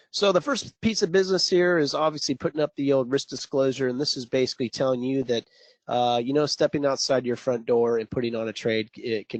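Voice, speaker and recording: A man's medium-pitched, normal speaking voice, a normal speaking voice, fairly quick with hardly any pauses and ordinary pitch variation, dry and close with no echo. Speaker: trading coach. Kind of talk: live webinar presentation. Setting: online webinar. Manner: casual, joking.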